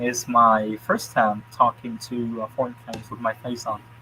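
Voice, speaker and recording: Amid noticeable background noise, a man speaks at a medium pitch. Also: big swings in loudness. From Vietnam, Da Nang. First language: Vietnamese. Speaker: university student. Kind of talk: casual chat.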